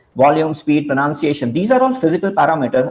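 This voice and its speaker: With lively intonation, a man speaks in an Indian accent. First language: Hindi. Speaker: communication trainer. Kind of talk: lecture. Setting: video call. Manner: halting.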